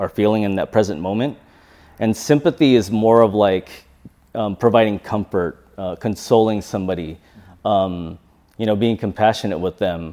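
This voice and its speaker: Using a dark, mellow tone and a Californian accent, a man talks at a moderate pace and fairly low pitch with ordinary pitch variation. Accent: Californian American English. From US West Coast, San Jose, California. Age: 30s. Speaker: life coach. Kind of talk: interview conversation. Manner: halting, many fillers and restarts.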